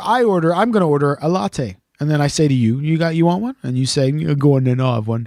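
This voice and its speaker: On a very clean recording with a silent background, a man with a Canadian accent talks at a fairly quick pace in a fairly high voice with lively intonation. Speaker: podcast co-host. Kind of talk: casual chat. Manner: animated storytelling.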